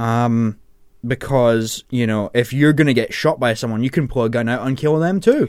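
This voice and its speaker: A man with a plain, everyday voice, medium pitch, ordinary pitch variation and moderate pace, on a very clean recording with a silent background. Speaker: radio presenter. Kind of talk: radio DJ patter, casual on-air banter with co-hosts, introducing songs and the panel. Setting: radio studio. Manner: chatty and self-correcting, stumbles and laughs at his own slips, easygoing and jokey; informal, rambling asides, teasing co-hosts.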